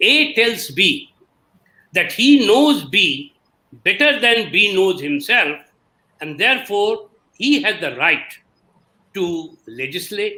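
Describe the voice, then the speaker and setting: A man speaks in a raised, projected voice with a bright, sharp tone. His pitch swings very widely. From India. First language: an Indian language. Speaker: historian of science. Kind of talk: panel talk.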